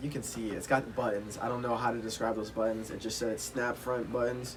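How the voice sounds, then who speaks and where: A man with an American accent, a medium pitch and monotone, flat intonation, with audible room echo and noticeable background noise. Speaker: streetwear YouTuber. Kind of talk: product review vlog. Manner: loud; hesitant, many fillers.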